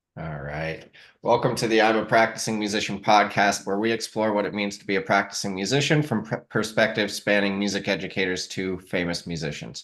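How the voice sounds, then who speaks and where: With a normal speaking voice, a man talks at a fairly quick pace with hardly any pauses over a quiet background. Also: fairly low pitch for a man, ordinary pitch variation. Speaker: podcast host. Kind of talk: podcast interview host talk.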